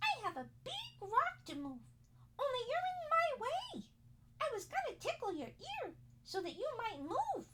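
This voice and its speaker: A squeaky, extremely high-pitched put-on character voice moves at a moderate pace. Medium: read story.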